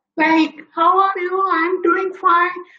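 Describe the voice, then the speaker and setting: An extremely high, nasal, put-on character voice delivers its lines in a monotone, flat intonation. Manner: head voice, demonstration.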